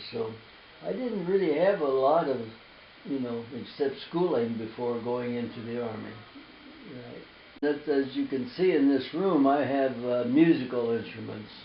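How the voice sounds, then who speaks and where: Audible room echo surrounds a man speaking with an American accent at medium pitch. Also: ordinary pitch variation, moderate pace. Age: 90s. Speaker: war veteran. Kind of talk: interview. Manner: halting.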